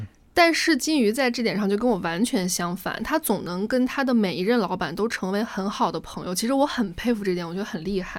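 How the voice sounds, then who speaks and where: A woman with an ordinary speaking voice talks at a fairly quick pace, with hardly any pauses. Her medium pitch moves with lively intonation. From Gansu, Tianshui. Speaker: podcast co-host. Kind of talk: casual chat.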